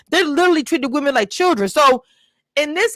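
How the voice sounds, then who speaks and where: Loud and very fast, a woman talks with lively intonation in a dry, close sound with no echo. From US South (Texas, Louisiana). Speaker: YouTube reality TV reviewer. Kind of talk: casual interview chat.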